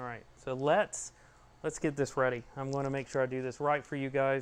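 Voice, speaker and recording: Speaking at a moderate pace, a man with an American accent has a medium pitch. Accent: Georgia (US) accent, stronger when excited. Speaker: 3D printing YouTuber. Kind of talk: live stream tutorial. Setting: garage. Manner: casual, chatty.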